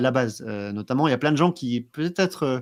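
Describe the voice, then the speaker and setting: The man speaks very fast on a very clean recording with a silent background. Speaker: blockchain trainer. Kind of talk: interview. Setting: livestream.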